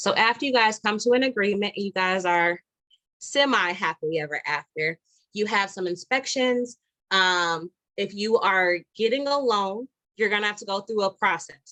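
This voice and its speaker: In a dry, close recording with no echo, a woman speaks at a medium pitch with ordinary pitch variation and a bright, sharp tone. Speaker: realtor. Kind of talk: online presentation. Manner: fast.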